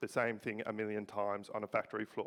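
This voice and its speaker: A man with an Australian accent, medium in pitch. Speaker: robotics researcher. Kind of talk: presentation. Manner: halting.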